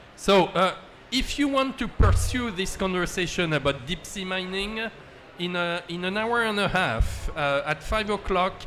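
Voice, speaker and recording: A man's high voice in a French accent at a fairly slow pace. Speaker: panel moderator. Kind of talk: panel discussion moderation. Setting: conference event with audience. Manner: hesitant, many fillers.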